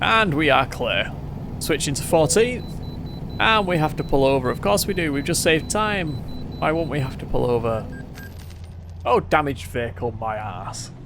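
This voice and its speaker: With long, frequent pauses, a man speaks at a fairly high pitch with very wide pitch swings, over noticeable background noise and audible room echo. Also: moderate pace. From Manchester, England. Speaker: gaming streamer. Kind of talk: live gameplay commentary. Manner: halting, pauses mid-sentence; casual, chatty.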